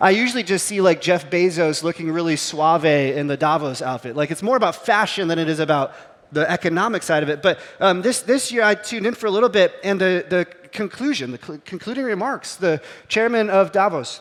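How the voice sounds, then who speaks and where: Over noticeable background noise, the voice moves at a fairly quick pace with lively intonation and an animated tone. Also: man, high pitch for a man. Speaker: pastor. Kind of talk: sermon. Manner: fast; casual, animated.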